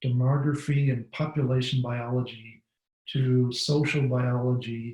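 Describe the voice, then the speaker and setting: With a dark, mellow tone, a man speaks in a somewhat breathy voice. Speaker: bat researcher. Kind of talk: webinar presentation.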